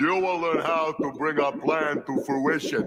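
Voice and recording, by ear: A cartoonish character voice from a man, fairly high-pitched, at a moderate pace over loud background noise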